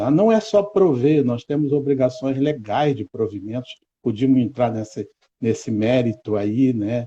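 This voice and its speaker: A man talks at a fairly slow pace in a somewhat breathy voice with a dark, mellow tone. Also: medium pitch for a man, lively intonation. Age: 60s. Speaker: educator. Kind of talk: interview.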